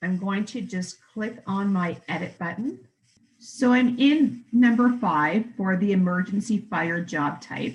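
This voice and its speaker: A woman with a Canadian accent speaks at a fairly slow pace with lively intonation. Her voice is somewhat breathy. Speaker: software trainer. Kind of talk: software tutorial demo. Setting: virtual conference presentation. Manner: clear, methodical.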